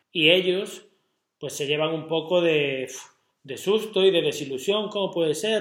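The man's voice is high-pitched for a man, and its pitch varies in an ordinary way. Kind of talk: casual chat.

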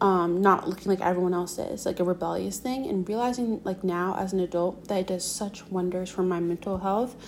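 The speaker is a woman with medium pitch. She has an American accent. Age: 20s. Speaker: podcaster. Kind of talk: solo monologue. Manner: casual, filler-heavy.

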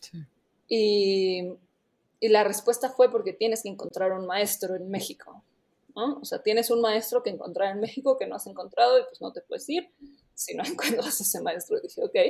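Loudness swings widely as a woman speaks at a moderate pace. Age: 20s. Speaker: travel startup employee, programmer. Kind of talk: casual interview.

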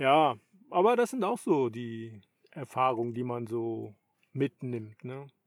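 Speaking very slowly with long, frequent pauses, a man at a medium pitch shows ordinary pitch variation and big swings in loudness. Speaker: podcast host, long-distance cyclist. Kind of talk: casual chat. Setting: in a tent.

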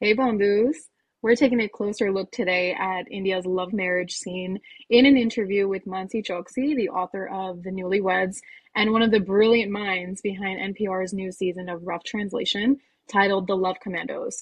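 Somewhat breathy, a woman speaks with an American accent at a medium pitch. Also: moderate pace. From United States. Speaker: podcast co-host. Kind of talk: casual interview. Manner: halting, repetitive.

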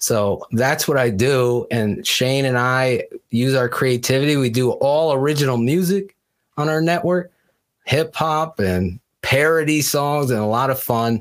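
A man with an American accent has an unremarkable speaking voice, medium in pitch with ordinary pitch variation and very even loudness, at a fairly slow pace in a very clean recording with a silent background. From Connecticut. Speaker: football podcast host. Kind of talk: casual chat.

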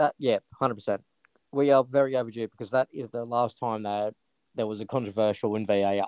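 A man with an Australian accent, medium-pitched, at a moderate pace with fairly even intonation. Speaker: sports podcast co-host. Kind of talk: casual chat.

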